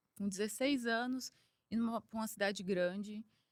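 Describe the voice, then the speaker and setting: This is a woman speaking. She has a Minas Gerais accent. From Brazil, Minas Gerais (Triângulo Mineiro). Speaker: engineer and executive. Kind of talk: podcast interview.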